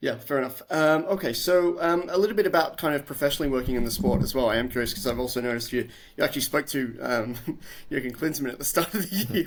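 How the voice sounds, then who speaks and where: The man's intonation is lively. He speaks at a very fast pace. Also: fairly high pitch for a man, very clean recording, silent background. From Australia. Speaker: podcast host. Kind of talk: casual interview. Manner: hesitant, many fillers.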